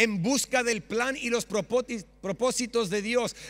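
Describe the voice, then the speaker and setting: This man's pitch is extremely high. He talks at a very slow pace. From Australia (Sydney). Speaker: pastor. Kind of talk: sermon. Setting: church stage with audience. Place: church. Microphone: handheld.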